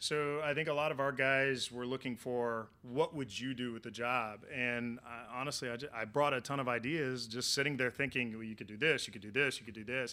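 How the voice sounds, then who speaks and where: With a Southern Plains accent, a man speaks at a fairly quick pace with hardly any pauses, using a medium pitch, fairly even intonation, a bright, sharp tone and big swings in loudness. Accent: Southern Plains American. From Oklahoma, US. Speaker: meteorologist, former TV weatherman. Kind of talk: interview.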